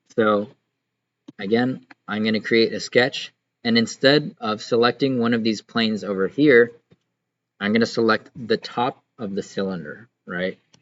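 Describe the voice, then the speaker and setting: Delivered at a fairly slow pace, a plain, everyday voice carries ordinary pitch variation. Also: man, medium pitch for a man. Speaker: student CAD instructor. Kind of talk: tutorial. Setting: online class recording.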